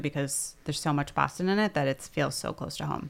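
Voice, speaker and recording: On a very clean recording with a silent background, a woman with a very deep, low voice and vocal fry talks at a fairly quick pace with lively intonation. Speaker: city councillor and podcast co-host. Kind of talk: casual chat. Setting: studio.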